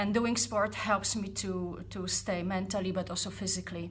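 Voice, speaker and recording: There is audible room echo as a woman speaks with a Polish accent. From Poland. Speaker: startup founder vlogger. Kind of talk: personal vlog reflection. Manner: halting, many fillers; deliberately not fast.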